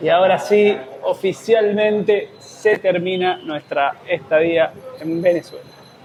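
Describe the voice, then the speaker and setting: Against noticeable background noise, a man with an Argentine accent speaks at a very slow pace with a high pitch and ordinary pitch variation. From Argentina. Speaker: travel vlogger. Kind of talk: travel vlog narration. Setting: outdoors at border crossing.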